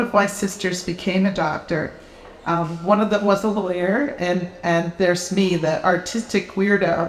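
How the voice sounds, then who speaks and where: Against noticeable background noise, a woman with an American accent and medium pitch talks at a moderate pace. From US Midwest, Appleton, Wisconsin. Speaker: novelist. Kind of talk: author talk and reading. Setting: live event with audience.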